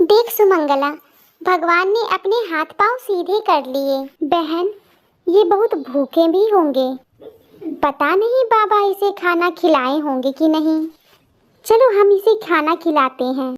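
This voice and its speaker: A woman uses a cartoonish character voice with extremely high pitch and lively intonation, speaking at a fairly slow pace. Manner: simple, innocent.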